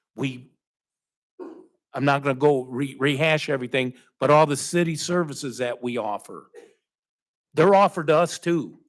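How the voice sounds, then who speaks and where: A man speaking at a moderate pace with ordinary pitch variation, broken up by long, frequent pauses. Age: 60s. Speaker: city council member. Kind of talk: formal public meeting statement. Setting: council chamber with public.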